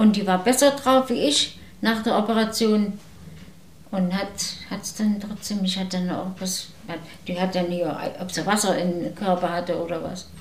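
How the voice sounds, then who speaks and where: A woman at medium pitch, with ordinary pitch variation, speaks with long, frequent pauses amid noticeable background noise and audible room echo. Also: moderate pace. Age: 80s+. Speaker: retiree. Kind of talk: casual chat.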